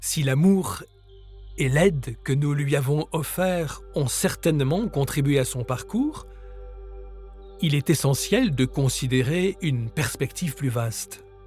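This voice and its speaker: Over music in the background, a man with a fairly high pitch talks in a calm tone at a very slow pace, with ordinary pitch variation and long, frequent pauses. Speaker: author and grief-support guide. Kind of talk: guided meditation and grief-support podcast. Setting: studio recording with nature sounds and soft music. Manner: calm, slow, soft-spoken.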